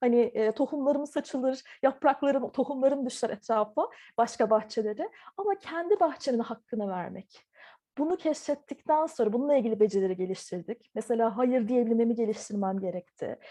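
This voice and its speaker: High-pitched female voice, dark and mellow in tone. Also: moderate pace. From Turkey (Ankara), partly Taiwan. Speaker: visual artist. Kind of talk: interview. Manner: hesitant, many filler sounds.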